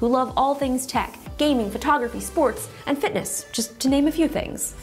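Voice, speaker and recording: Faint music plays in the background. The speech moves at a moderate pace. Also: woman. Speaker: tech reviewer. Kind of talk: sponsored product presentation. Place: studio.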